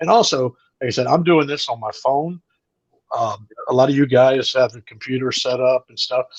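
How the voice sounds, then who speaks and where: A man with an American accent speaks in an ordinary speaking voice at medium pitch and a fairly quick pace. His pitch varies normally, and the sound is dry and close with no echo. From US South. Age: 60s. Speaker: comedian. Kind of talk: casual chat. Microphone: phone mic.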